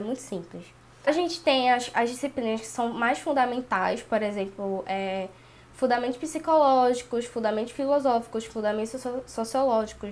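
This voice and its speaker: A woman is speaking at a moderate pace. Her pitch is high. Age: 20s. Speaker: pedagogy student. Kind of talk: casual talk to camera.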